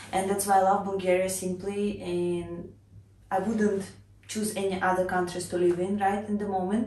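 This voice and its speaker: A woman with a Russian accent speaks at a moderate pace and medium pitch in a monotone, flat intonation. Audible room echo and noticeable background noise surround her. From Russia (Cheboksary). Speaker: vlogger. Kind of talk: casual personal introduction vlog.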